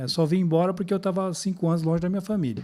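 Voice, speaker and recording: Talking at a very fast pace, a man has a high pitch and a dark, mellow tone, captured in a very clean recording over a silent background. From Brazil, Alagoas (Northeast), later Paraná. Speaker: retired police officer, city security secretary. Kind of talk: podcast interview.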